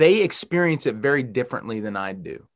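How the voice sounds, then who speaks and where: Against a quiet background, a man with a normal speaking voice and medium pitch speaks with lively intonation. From Western Pennsylvania. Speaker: pastor. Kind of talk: sermon.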